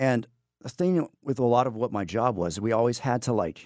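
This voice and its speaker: With a normal speaking voice in an American accent, a man speaks at medium pitch with lively intonation on a very clean recording with a silent background. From Texas, Amarillo. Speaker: history teacher and navy veteran. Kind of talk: interview. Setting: studio.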